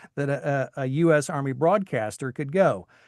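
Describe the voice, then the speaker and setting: This man has an ordinary speaking voice, with an American accent, medium pitch, ordinary pitch variation and a fairly slow pace. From Tennessee, US South. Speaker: voice actor, army veteran. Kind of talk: interview talk.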